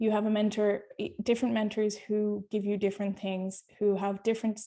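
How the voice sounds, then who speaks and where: A woman with an Irish accent talks at a fairly quick pace and a medium pitch, her dark, mellow tone flat and monotone. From Ireland. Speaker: nurse researcher. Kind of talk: webinar talk. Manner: fast.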